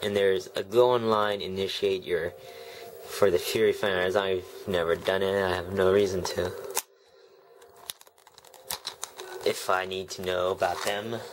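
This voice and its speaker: Speech moves at a very slow pace. Noticeable background noise is present. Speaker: toy reviewer. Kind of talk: casual review chat. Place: home room. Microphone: webcam.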